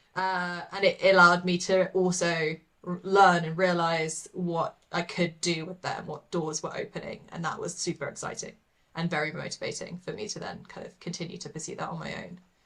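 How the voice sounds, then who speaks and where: The speaker, in a British accent, keeps a monotone, flat intonation while the loudness swings widely. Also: woman, fairly low pitch for a woman, moderate pace. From England, London. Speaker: artist. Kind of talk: casual interview chat.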